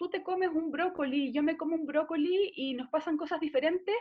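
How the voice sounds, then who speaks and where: With a Chilean accent and a high pitch, a woman talks at a moderate pace. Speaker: nutritionist. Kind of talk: interview conversation.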